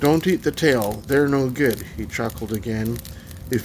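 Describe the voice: Ordinary pitch variation in plain reading aloud.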